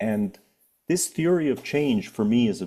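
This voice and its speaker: Here a man speaks with a Canadian accent at a moderate pace. His tone is dark and mellow and his intonation lively. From Canada. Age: 60s. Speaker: author and family wealth advisor. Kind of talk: podcast interview. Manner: measured, explanatory.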